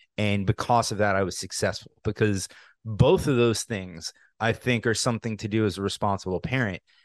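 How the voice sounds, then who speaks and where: In a dry, close recording with no echo and a quiet background, a man uses a normal speaking voice, fairly low in pitch, with fairly even intonation at a fairly quick pace. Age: 30s. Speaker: podcast host. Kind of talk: casual interview.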